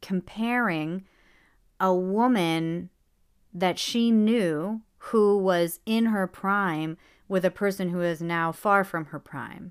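In a very clean recording with a silent background, a woman speaks very slowly at a medium pitch with ordinary pitch variation. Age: 30s. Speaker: podcast host. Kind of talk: casual monologue. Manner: rambling, conversational.

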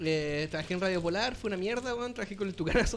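Music plays behind a man with a high pitch. He moves at a fairly quick pace with lively intonation. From Chile, Magallanes region. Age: 30s. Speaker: music producer and sound technician. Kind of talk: casual chat.

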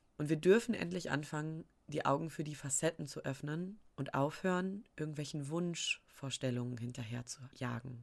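A woman speaks in a very deep, low-pitched voice with ordinary pitch variation. Her tone is animated and her pace moderate. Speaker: podcast host, spiritual business coach. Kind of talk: casual monologue. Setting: at home.

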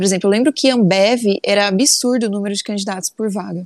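In a plain, everyday voice, a woman speaks at a fairly quick pace with fairly high pitch and lively intonation, the sound dry and close with no echo. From Brazil, São Paulo state interior (Sertãozinho). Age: 20s. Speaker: engineer and business analyst. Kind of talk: interview.

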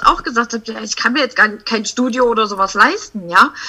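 Fairly high in pitch, a woman talks at a moderate pace with ordinary pitch variation. It is an unremarkable speaking voice. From Saxony-Anhalt, eastern Germany (Sangerhausen). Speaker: family photographer. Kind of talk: casual interview chat.

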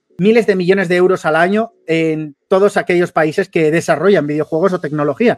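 A man's high-pitched voice with ordinary pitch variation, in a dry, close sound with no echo. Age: 30s. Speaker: esports commentator. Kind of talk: interview.

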